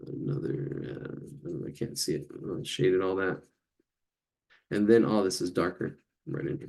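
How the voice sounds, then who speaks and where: With vocal fry and mumbling, a man speaks at a moderate pace in a very deep, low pitch, making very wide pitch swings and long, frequent pauses. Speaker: drawing teacher. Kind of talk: live online drawing class. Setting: live video stream. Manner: halting, repetitive.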